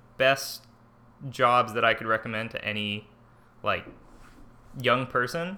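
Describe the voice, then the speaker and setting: This man speaks at a fairly slow pace with an American accent and lively intonation. His tone is bright and sharp. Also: long, frequent pauses. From US West, Livermore, California. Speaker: student government candidate. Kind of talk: casual interview. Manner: halting.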